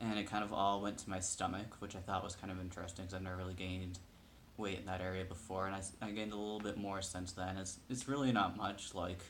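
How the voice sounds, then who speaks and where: Speech comes very fast in a monotone, flat delivery. Audible room echo and noticeable background noise surround it. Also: man, very deep, low pitch for a man. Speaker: video blogger. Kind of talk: casual personal update vlog. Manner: hesitant, many fillers.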